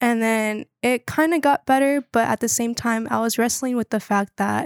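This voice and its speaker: A woman with an American accent speaks in a plain, everyday voice, fairly high in pitch, with fairly even intonation at a moderate pace. The recording is very clean, dry and close, with no echo and a silent background. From North Carolina, Wilmington. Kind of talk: casual faith interview. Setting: in person, Chicago.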